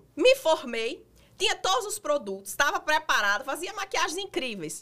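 Animated and bright, sharp in tone, a woman with a northeastern Brazilian accent speaks at a moderate pace in a raised, projected voice with very wide pitch swings. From Brazilian Northeast, Rio Grande do Norte. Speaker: makeup artist and influencer. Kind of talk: interview.

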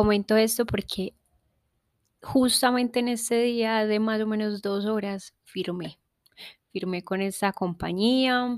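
On a very clean recording with a silent background, a woman speaks at a fairly high pitch. She goes at a very slow pace with fairly even intonation. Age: 20s. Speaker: podcast host. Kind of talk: personal monologue.

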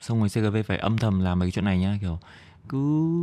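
A man with a Northern Vietnamese accent, fairly low in pitch, at a fairly quick pace against a quiet background. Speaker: podcast host and comedian. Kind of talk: casual solo comedic monologue. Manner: fast toward the end of the episode.

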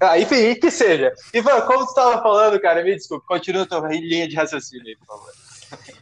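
High-pitched male speech at a fairly quick pace, with lively intonation and hardly any pauses, over noticeable background noise. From southern Brazil, Porto Alegre. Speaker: podcast host. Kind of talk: casual chat.

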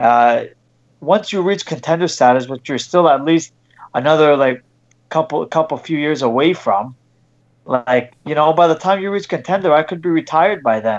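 A man's plain, everyday voice at a fairly high pitch, moderate pace and ordinary pitch variation, against a quiet background. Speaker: boxer. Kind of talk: casual interview.

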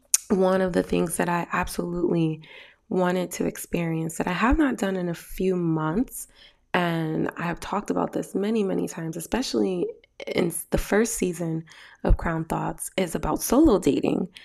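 Speaking at a moderate pace, the woman has an unremarkable speaking voice that sits fairly low, and her pitch varies in an ordinary way. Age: 30s. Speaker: podcast host and therapist. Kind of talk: casual monologue.

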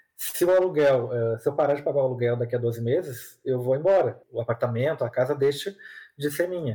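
Fairly quick and somewhat breathy, the man's voice has a dark, mellow tone, a fairly high pitch and ordinary pitch variation. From southern Brazil, Porto Alegre. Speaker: content creator on personal finance. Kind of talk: podcast interview. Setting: remote recording over the internet.

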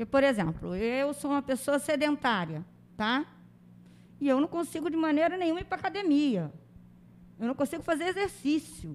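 Lively intonation and long, frequent pauses mark this moderately paced speech on a very clean recording with a silent background. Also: woman, high pitch for a woman. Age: 50s. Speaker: teacher and life coach. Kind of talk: interview conversation. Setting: studio. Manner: animated.

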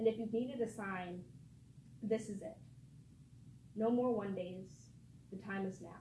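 Audible room echo surrounds a woman talking at a moderate pace with long, frequent pauses. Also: medium pitch for a woman, ordinary pitch variation, big swings in loudness. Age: 20s. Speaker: spoken word poet. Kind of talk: poetry reading.

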